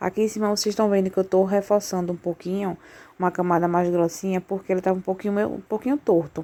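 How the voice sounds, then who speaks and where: A woman's dark, mellow tone at medium pitch, with fairly even intonation. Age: 20s. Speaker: confectioner vlogger. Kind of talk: casual vlog tutorial. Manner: soft-spoken.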